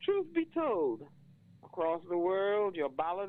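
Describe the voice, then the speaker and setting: With a Bajan accent, a woman speaks at a fairly slow pace in a fairly low pitch with ordinary pitch variation. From Barbados. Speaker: poet. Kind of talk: poetry reading.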